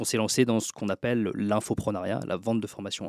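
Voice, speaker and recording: Speaking at a fairly quick pace, a man has a medium pitch. The recording is very clean with a silent background and a dry, close sound with no echo. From France, Troyes (Aube). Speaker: author and book publisher. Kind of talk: podcast interview.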